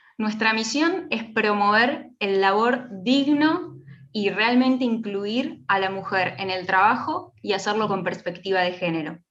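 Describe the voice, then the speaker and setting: Lively in intonation and barely pausing, a woman with a fairly high pitch speaks amid audible room echo. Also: moderate pace. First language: Spanish. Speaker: nonprofit manager. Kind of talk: conference talk.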